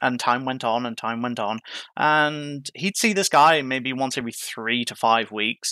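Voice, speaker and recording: A man with an Irish accent at a fairly slow pace, medium in pitch with ordinary pitch variation and a bright, sharp tone, in a dry, close sound without echo on a very clean recording with a silent background. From Ireland. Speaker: EMT. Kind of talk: interview, personal story.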